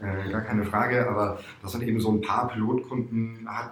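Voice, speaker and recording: A man with a fairly low pitch speaks over noticeable background noise, and audible room echo is present. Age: 40s. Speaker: startup investment manager and coach. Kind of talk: interview.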